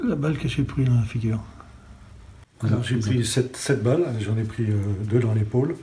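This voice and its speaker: A man pauses often and at length, his pitch varying in an ordinary way, with audible room echo around him. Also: medium pitch for a man, moderate pace. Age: 60s. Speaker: retired special forces gendarme. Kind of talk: interview testimony. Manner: hesitant, many fillers.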